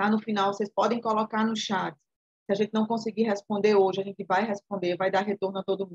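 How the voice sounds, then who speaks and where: This woman speaks at a fairly quick pace in a somewhat breathy voice with monotone, flat intonation. The sound is dry and close, with no echo. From Alagoas, Brazil. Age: 40s. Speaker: entrepreneur. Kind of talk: online class talk.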